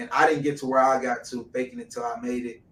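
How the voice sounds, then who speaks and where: Someone with an American accent talks at a fairly quick pace amid noticeable background noise. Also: man. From Detroit, US. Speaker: entrepreneur. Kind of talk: interview conversation.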